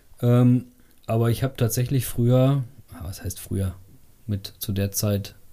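A man speaks very slowly at a medium pitch, his dark, mellow tone carried on fairly even intonation. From Sauerland, Germany. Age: 30s. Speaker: rock club vice chair and drummer. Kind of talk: casual chat. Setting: home basement recording.

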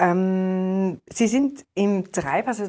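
Ordinary pitch variation colors a woman's medium-pitched speech. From Austria, Tyrol. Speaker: newspaper reporter and interviewer. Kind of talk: interview. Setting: studio.

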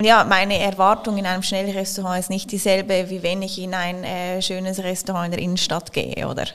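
A woman speaks at a fairly quick pace with hardly any pauses. Her medium-pitched voice stays monotone and flat. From Switzerland, Zurich. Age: 30s. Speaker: company executive. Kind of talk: interview.

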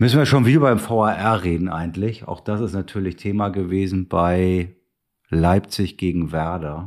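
Delivered at a moderate pace with ordinary pitch variation, this very clean recording has a silent background. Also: man, very deep, low pitch for a man. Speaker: podcast host. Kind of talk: casual football talk. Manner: joking, teasing, animated.

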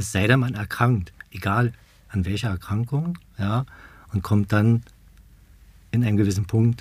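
At a moderate pace, a man speaks with a fairly low pitch, ordinary pitch variation and a somewhat breathy voice. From Berlin, Germany. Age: 50s. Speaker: support group co-founder, stoma patient. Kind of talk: casual interview.

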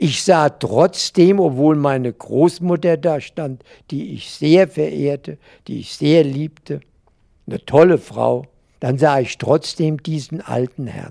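Man with a fairly high pitch, dark, mellow tone and ordinary pitch variation at a very slow pace, in a dry, close sound with no echo. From Mainz. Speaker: retired banker. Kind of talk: interview reminiscence.

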